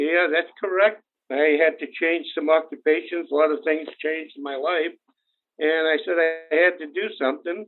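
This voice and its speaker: A man with a Boston accent speaks at a moderate pace in a fairly high pitch, his intonation fairly even. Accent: New England Boston. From New Bedford, Massachusetts. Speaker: insurance agency founder. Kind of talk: podcast interview.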